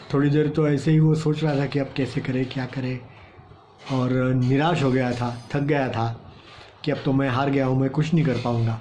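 Monotone, flat intonation at a moderate pace, with music in the background. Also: man. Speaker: storyteller for children. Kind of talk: storytelling to children. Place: home room. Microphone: phone near.

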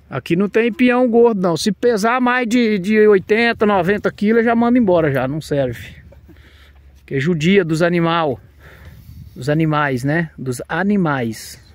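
At a very slow pace, a man with a high pitch speaks with very wide pitch swings in a dry sound with no echo. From Brazil, Minas Gerais. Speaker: video blogger. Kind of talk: casual vlog commentary. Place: farm. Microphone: phone near.

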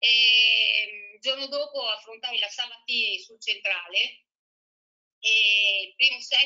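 With ordinary pitch variation, a woman talks over a quiet background. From Italy. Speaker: former professional tennis player. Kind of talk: casual interview. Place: home room. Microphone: video call.

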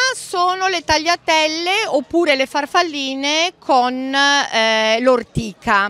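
A woman's raised, projected voice, high-pitched, with lively intonation, at a very slow pace, in a dry sound with no echo. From Emilia-Romagna, Romagna. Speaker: home cook running a social fresh-pasta project; pasta stall vendor. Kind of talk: interview at a fair. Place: market. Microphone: handheld.

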